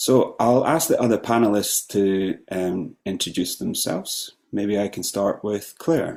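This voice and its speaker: A man's unremarkable voice, fairly low in pitch, at a fairly slow pace with hardly any pauses and ordinary pitch variation. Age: 40s. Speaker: panel facilitator, cellist and composer. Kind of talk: online panel discussion. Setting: video call.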